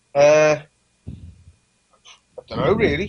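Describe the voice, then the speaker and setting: A man speaks with a Lancashire accent. His pitch sits fairly high. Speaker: band vocalist. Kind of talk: interview. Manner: halting.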